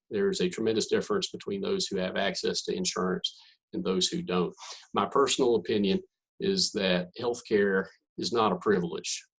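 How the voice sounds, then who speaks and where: A man with a Southern accent at a moderate pace. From North Carolina. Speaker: physician. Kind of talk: presentation.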